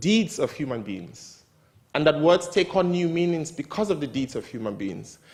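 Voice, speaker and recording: The speaker is a man. He talks with a Nigerian accent. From northern Nigeria. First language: Hausa. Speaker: writer. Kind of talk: talk at a literary event.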